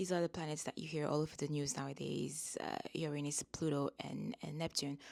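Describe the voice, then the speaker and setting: The voice is soft-spoken with fairly even intonation. There are hardly any pauses. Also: woman, very deep, low pitch for a woman. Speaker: astrologer. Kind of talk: casual talk to camera about astrology. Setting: recording at a family home. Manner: soft-spoken, low voice; mellow.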